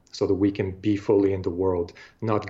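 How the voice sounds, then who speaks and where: A man speaks at a moderate pace in a fairly low, somewhat breathy voice with a dark, mellow tone and monotone, flat intonation. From Bulgaria. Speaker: artist and filmmaker. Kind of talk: interview conversation.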